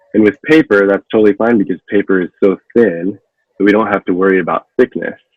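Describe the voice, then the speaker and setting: At a fairly quick pace, a man speaks in a fairly low voice with ordinary pitch variation. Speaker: props and costume artisan. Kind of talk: tutorial. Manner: fast.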